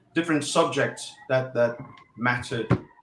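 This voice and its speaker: Noticeable background noise sits behind the speaker. He is a man with fairly even intonation. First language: Portuguese. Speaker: election analyst. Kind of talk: panel discussion. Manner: halting, many fillers.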